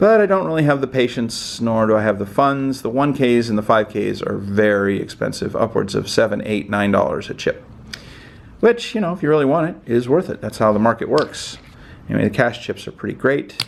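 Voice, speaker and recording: At a medium pitch, a man talks fairly quickly with lively intonation. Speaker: poker chip collector, video host. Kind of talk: casual show-and-tell video. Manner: fast.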